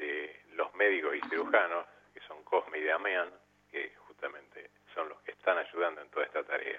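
Noticeable background noise fills the recording. Over it, a man talks at a fairly slow pace. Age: 60s. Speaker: regular caller. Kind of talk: casual chat. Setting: phone call.

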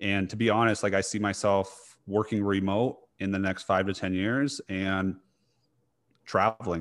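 A man with a plain, everyday voice speaks at a moderate pace and a fairly low pitch, his intonation fairly even, in a very clean recording with a silent background. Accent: American. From US, small town. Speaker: dietitian and fitness coach. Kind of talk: casual interview.

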